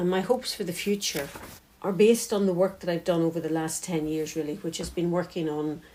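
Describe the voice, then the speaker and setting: Speaking in a Northern Irish accent, a woman talks at a moderate pace with a fairly low pitch. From County Tyrone, Northern Ireland. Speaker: peace and reconciliation worker. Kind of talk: personal reflection.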